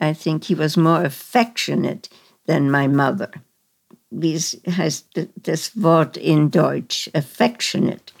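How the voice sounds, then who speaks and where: Speaking very slowly with vocal fry, a woman with an American accent uses a very deep, low pitch and ordinary pitch variation. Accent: American-tinged German. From Germany, Berlin. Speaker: Holocaust survivor. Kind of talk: interview testimony. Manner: halting, searching for German words.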